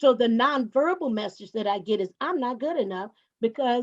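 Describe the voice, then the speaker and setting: A woman's high voice moves at a fairly quick pace, its pitch varying in an ordinary way. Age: 60s. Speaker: panelist. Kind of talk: panel discussion.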